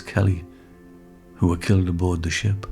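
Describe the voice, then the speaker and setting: Music plays in the background as a man talks in a very deep, low-pitched voice. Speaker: poet and playwright. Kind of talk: documentary narration.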